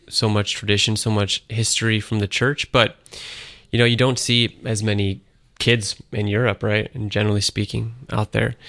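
In a dry, close sound with no echo and a quiet background, a man with an American accent speaks at a fairly low pitch and a moderate pace. His tone is bright and sharp, his intonation monotone and flat. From Syracuse, upstate New York. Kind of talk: interview on radio.

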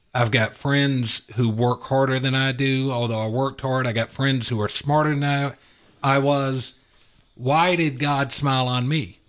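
At a fairly slow pace, a man with an American accent talks in an unremarkable speaking voice, medium in pitch, with fairly even intonation. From US South, Atlanta, Georgia. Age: 50s. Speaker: business executive. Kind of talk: radio interview. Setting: studio.

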